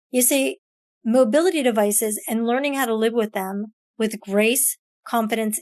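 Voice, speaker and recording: Upbeat and enthusiastic, a woman speaks at a fairly high pitch with ordinary pitch variation. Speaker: podcast host. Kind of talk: podcast intro. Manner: upbeat, enthusiastic.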